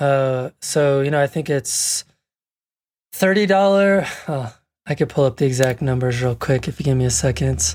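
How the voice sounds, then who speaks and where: A man with an ordinary speaking voice and an American accent talks at a moderate pace, fairly high in pitch and with lively intonation, on a very clean recording with a silent background. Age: 40s. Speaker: landscape photographer. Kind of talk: casual interview.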